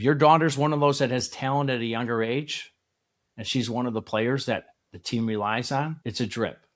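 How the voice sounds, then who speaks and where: In a normal speaking voice of medium pitch, a man talks at a fairly quick pace with ordinary pitch variation, on a very clean recording with a silent background. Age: 60s. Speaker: youth softball coach, podcast host. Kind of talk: solo podcast talk to parents. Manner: conversational, reflective.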